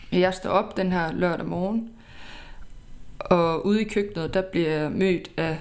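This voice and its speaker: Speaking very slowly with fairly even intonation, a woman is heard amid audible room echo. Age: 20s. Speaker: podcast host. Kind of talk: personal storytelling.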